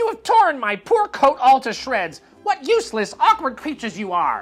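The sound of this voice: A man uses a put-on character voice, shrill and extremely high-pitched, with very wide pitch swings. He talks at a moderate pace over faint background music.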